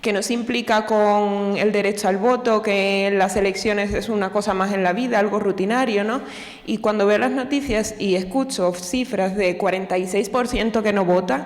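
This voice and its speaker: A woman's medium-pitched voice in a Cuban accent at a moderate pace, with fairly even intonation, audible room echo and noticeable background noise. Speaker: audience member asking a question. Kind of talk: audience question. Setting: lecture hall with audience.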